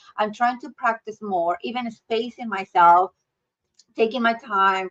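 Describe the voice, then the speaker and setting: A woman with a Mexican accent speaks fairly slowly in a fairly high pitch, her intonation fairly even but her loudness swinging widely, in a dry, close sound with no echo. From Mexico. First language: Spanish. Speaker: healthcare leader. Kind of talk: podcast interview.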